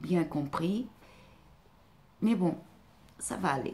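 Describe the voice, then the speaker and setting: A woman's somewhat breathy voice with a slight non-native accent. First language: not French (speaking French). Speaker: life coach and therapist. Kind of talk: vlog monologue. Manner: hesitant, many fillers.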